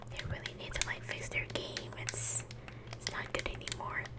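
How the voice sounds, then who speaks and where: A man whispering. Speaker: ASMR gaming content creator. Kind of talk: casual talk to camera. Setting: home recording. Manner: soft, whispery. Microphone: studio mic.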